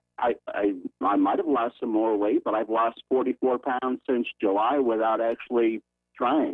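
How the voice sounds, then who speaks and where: Moderately paced male speech at very even loudness. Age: 60s. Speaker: caller. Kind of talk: casual chat. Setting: phone call.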